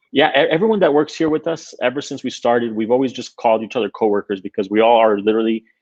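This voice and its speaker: With a Spanish accent, a man talks at a medium pitch with ordinary pitch variation. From Queens, New York (born in Honduras). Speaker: tech entrepreneur. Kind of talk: interview. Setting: live stream.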